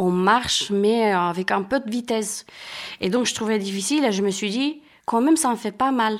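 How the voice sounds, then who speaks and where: Very clean recording, silent background: a woman at medium pitch speaks at a fairly slow pace. Her intonation is lively. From Romania. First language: Romanian (speaking French). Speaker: sport walker. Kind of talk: casual interview. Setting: at home, living room.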